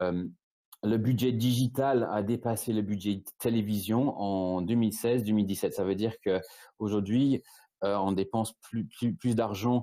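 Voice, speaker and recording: A man's fairly low voice with a British accent, dark and mellow in tone, fairly slow, very even in loudness and fairly even in intonation. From Britain. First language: English (speaking French). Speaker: e-commerce agency founder. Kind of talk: webinar presentation. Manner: halting, many repetitions and fillers.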